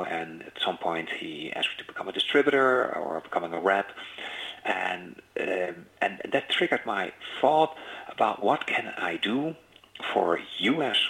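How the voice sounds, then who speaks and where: Very wide pitch swings from a man at a moderate pace, with noticeable background noise behind him. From Netherlands. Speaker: business executive. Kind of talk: interview. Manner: halting.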